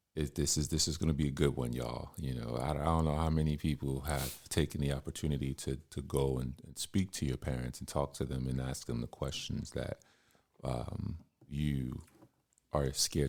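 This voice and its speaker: A man with a very deep, low pitch speaks in a calm tone with vocal fry. His pace is moderate and his intonation fairly even. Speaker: podcast host. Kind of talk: casual interview. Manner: calm, smooth.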